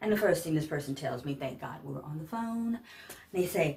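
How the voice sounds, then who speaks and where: Her pitch rises and falls over a very wide range. The woman keeps a moderate pace. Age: 60s. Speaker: vlogger, senior pageant titleholder and caregiver. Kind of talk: casual vlog rant. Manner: animated.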